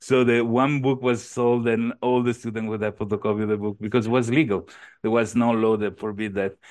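Speaking in an Italian accent, a man talks at a fairly quick pace with fairly even intonation and a fairly low pitch. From Italy, near Venice. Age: 40s. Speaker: entrepreneur. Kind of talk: interview. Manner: halting.

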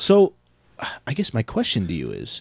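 This very clean recording of a man has a silent background and a dry, close sound with no echo. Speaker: podcast host. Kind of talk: casual chat.

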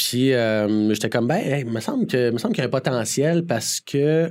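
Words come out fairly quickly. The intonation rises and falls in a lively way. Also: man. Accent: Quebec. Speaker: community development director and speaker. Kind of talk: interview.

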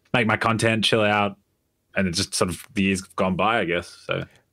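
This man speaks with an Australian accent at a fairly low pitch. His tone is bright and sharp, and his pace is very fast. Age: 20s. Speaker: gaming YouTuber. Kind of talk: casual chat.

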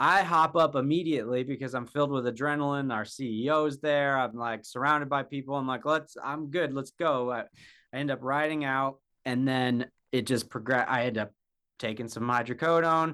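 In a very clean recording with a silent background, a man with a medium-pitched voice and a bright, sharp tone talks at a fairly quick pace. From Wyoming. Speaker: ultrarunner and video creator. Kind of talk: interview. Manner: halting, many fillers.

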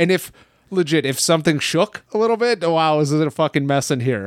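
Here a man with an unremarkable speaking voice, pitched fairly high, uses lively intonation on a very clean recording with a silent background and a dry, close sound with no echo. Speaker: shipping supervisor at a wrestling merchandise shop. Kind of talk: casual chat.

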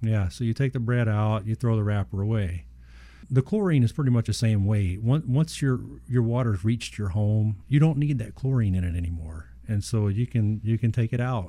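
A man's dark, mellow voice at a medium pitch, with ordinary pitch variation and a moderate pace, on a very clean recording with a silent background. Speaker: water treatment expert. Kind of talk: casual expert chat. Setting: radio studio. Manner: halting, repeats words.

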